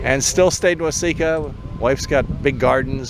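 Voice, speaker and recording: There is noticeable background noise while the man talks at a moderate pace. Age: 70s. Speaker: retired engineer. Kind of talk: casual chat.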